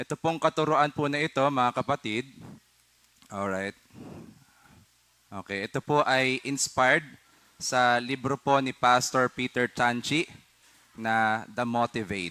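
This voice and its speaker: A man's medium-pitched voice, bright and sharp in tone, at a fairly slow pace with long, frequent pauses and ordinary pitch variation, dry and close with no echo. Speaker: pastor. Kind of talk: sermon. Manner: formal.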